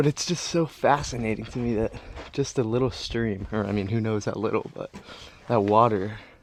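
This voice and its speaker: This man speaks quietly at a medium pitch. The pitch variation is ordinary. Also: moderate pace. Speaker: travel vlogger. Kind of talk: casual vlog narration. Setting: outdoors. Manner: kept relatively quiet.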